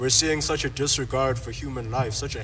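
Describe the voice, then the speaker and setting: A man's fairly quick speech comes with audible room echo and noticeable background noise. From South Africa. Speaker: activist panelist. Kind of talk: panel discussion. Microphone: poor sound early in recording.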